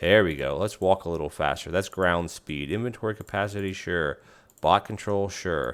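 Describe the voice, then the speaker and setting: In a very clean recording with a silent background, a man mumbles at a moderate pace in a very deep, low pitch with ordinary pitch variation. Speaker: gaming youtuber. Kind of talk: let's play commentary. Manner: mumbly; halting, casual.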